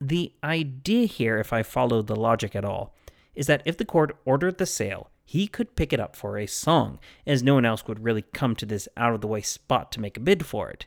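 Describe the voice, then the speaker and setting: With lively intonation and a fairly quick pace, a man speaks in an ordinary speaking voice at medium pitch, the sound dry and close with no echo. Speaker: history podcast host. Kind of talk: history narration, scripted storytelling. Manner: measured, wry, storyteller pace.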